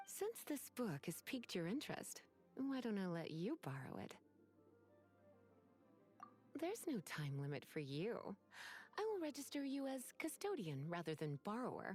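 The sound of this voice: With faint music in the background, a woman performs a put-on character voice with a slightly husky edge, very wide pitch swings, a fairly slow pace and long, frequent pauses. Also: medium pitch for a woman.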